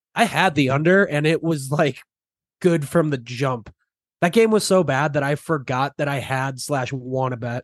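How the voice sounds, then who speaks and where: A man's unremarkable speaking voice, fairly high in pitch with ordinary variation, at a moderate pace against a quiet background. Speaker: podcast host. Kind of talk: casual sports podcast chat.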